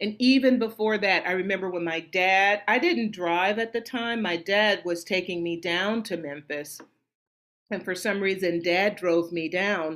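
An unremarkable speaking voice with an American accent, at a fairly slow pace with ordinary pitch variation, in a very clean recording over a silent background. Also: woman, medium pitch for a woman. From US South, Nashville, Tennessee. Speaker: opera singer. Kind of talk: casual interview.

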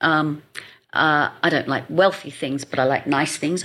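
A woman with an English accent, a very deep, low pitch, a bright, sharp tone and ordinary pitch variation at a fairly slow pace. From England. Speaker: marketing expert and speaker. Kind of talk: casual interview chat.

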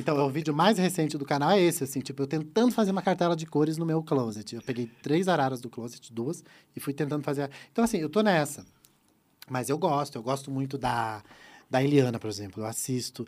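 At a fairly quick pace, a man with a fairly high pitch and lively intonation speaks in a very clean recording with a silent background. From Santa Catarina, southern Brazil. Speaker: YouTube presenter and former celebrity impersonator. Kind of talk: casual chat.

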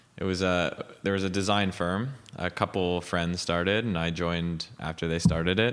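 This man has a very deep, low pitch and a Montreal accent. He talks at a moderate pace. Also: fairly even intonation. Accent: Montreal English, Canadian. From Montreal, Quebec, Canada. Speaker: tech startup founder. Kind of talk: interview. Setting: at his home.

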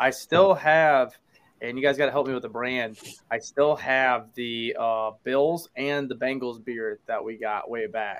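This man has an ordinary speaking voice at a medium pitch, with ordinary pitch variation. He speaks at a fairly slow pace. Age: 20s. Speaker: podcast host guest. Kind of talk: casual chat.

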